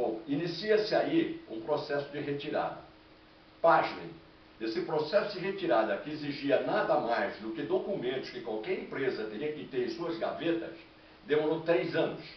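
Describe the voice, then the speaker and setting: Amid noticeable background noise and audible room echo, a man talks at a moderate pace with big swings in loudness. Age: 70s. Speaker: retired petrochemical worker. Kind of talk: complaint monologue to camera.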